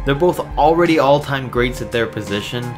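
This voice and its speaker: Lively intonation is heard over music in the background. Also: man. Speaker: sports video narrator. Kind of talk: commentary.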